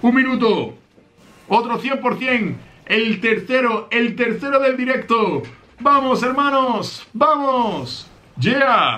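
A man's raised, projected voice at a very slow pace. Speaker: gaming streamer. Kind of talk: live gameplay commentary. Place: home room.

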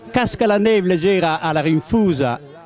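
A man's high voice at a fairly slow pace, lively intonation, dry sound with no echo, and light background noise. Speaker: dialect poet. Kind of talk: poetry reading in dialect. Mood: tender, nostalgic. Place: street. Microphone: handheld.

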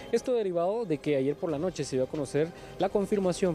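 A man talks at a fairly quick pace with ordinary pitch variation. The sound is dry with no echo, and faint music plays in the background. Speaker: TV field reporter. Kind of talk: live news report. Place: street. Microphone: handheld.

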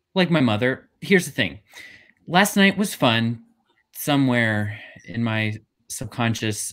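With a quiet background, a man speaks at a fairly slow pace. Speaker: actor, workshop participant. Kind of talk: comedy scene reading. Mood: awkward, hesitant. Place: home room.

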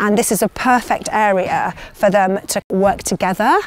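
A woman's voice with a dry sound and no echo. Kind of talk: interview answer. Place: open country.

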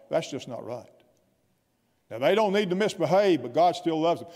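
A man's high-pitched voice with a South Carolina accent against a quiet background. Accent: Southern US (South Carolina). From US South, upstate South Carolina (Anderson). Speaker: guest pastor. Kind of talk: sermon. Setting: church. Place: church. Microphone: podium.

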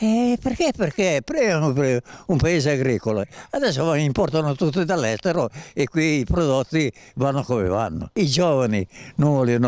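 At a fairly slow pace, a man speaks in a fairly high pitch with very wide pitch swings and a dry sound with no echo. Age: 90s. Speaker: local resident. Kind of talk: street interview. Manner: halting. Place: street. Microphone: handheld.

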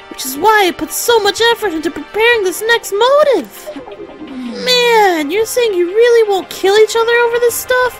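Over clear background music, a put-on character voice at an extremely high pitch moves at a moderate pace. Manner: mock-dejected, whiny.

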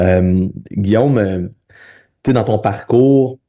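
With a dark, mellow tone and fairly low pitch, a man speaks at a very slow pace with ordinary pitch variation over a quiet background. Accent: Quebec. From Quebec. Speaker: podcast host and physiotherapist. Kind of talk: interview conversation. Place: home room. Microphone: video call.

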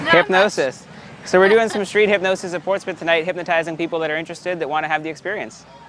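Noticeable background noise sits under a man talking at a very fast pace. His pitch is high with ordinary variation, and the sound is dry with no echo. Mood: friendly, upbeat, laughing. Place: street.

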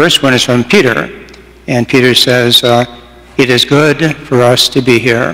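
With a bright, sharp tone, a man speaks at a fairly slow pace.

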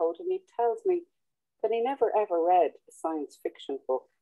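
Against a quiet background, a woman with an Irish accent speaks at a fairly slow pace, her fairly high pitch swinging very widely and her tone dark and mellow. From Ireland. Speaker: open-mic poet. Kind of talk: poetry reading. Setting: video call. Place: home room. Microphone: video call.

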